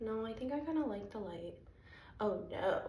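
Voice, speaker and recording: Over noticeable background noise and audible room echo, a woman speaks at a fairly high pitch with lively intonation. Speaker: spiritual content creator (remote viewer, psychic). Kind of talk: casual vlog monologue. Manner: hesitant, many ums.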